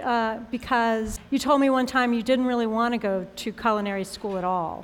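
A woman speaks in a plain, everyday voice. Her pitch is fairly high and her pace moderate. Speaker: food editor. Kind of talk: onstage interview. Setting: stage with audience.

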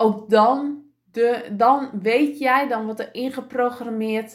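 At a very slow pace, a woman is talking. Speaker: podcast host and business coach. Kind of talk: motivational solo podcast. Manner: calm, grounded after breathing exercise; lively, varied pitch.

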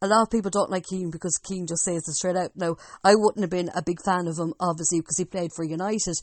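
A very fast pace and fairly even intonation in an Irish Midlands accent. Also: woman. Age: young. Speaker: sports podcast host. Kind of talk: casual sports chat.

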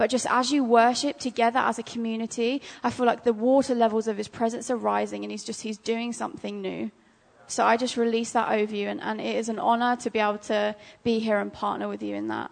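Speaking at a very fast pace, a woman talks. She has an English accent. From England. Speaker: ministry school student. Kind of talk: prophetic word in church. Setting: church.

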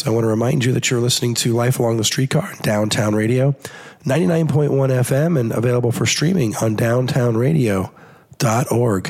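A man's strained, put-on character voice at a medium pitch and a moderate pace

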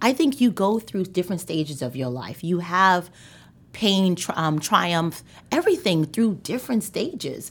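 A woman with a plain, everyday voice talks at a moderate pace and medium pitch with lively intonation, on a very clean recording with a silent background. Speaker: author and motivational speaker. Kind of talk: casual interview chat.

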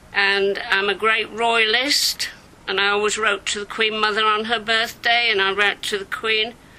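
Over noticeable background noise, a woman with a fairly high pitch speaks at a moderate pace and very even loudness. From northern England, Leeds, Yorkshire. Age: 70s. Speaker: milliner. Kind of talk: personal life story. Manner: animated.

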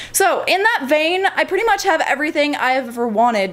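A woman speaks at a moderate pace in an ordinary speaking voice with lively intonation. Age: 20s. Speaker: model and gaming YouTuber. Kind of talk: casual vlog.

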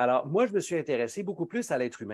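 In a Quebec accent, a man talks with lively intonation against a quiet background. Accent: Québécois French. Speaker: pharmacist and speaker. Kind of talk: interview.

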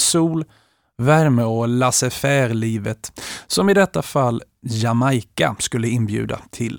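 A plain, everyday voice from a man, medium-pitched with lively intonation and a fairly slow pace, in a dry, close sound with no echo and a very clean recording over a silent background. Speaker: music podcast host. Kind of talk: scripted narration.

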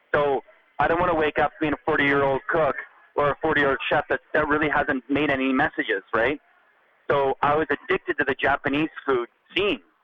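In a Canadian accent, a man with a fairly high pitch talks at a moderate pace, his intonation flat and monotone and his loudness very even. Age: 40s. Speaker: chef. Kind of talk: interview.

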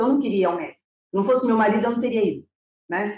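A woman speaks at a very fast pace in a dark, mellow voice. It sits fairly high, with ordinary pitch variation. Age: 50s. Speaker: breast cancer patient. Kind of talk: interview testimony.

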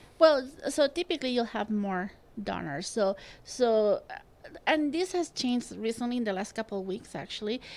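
This woman's fairly high voice moves in very wide pitch swings at a moderate pace. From Spain. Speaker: transplant coordinator. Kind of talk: casual interview. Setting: studio. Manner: halting.

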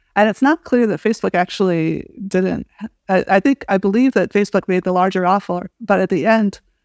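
A woman with a Midwestern accent talks at a very fast pace with ordinary pitch variation, the sound dry and close with no echo. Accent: American Midwestern. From US Midwest, small-town Illinois. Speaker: professor. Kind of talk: interview conversation.

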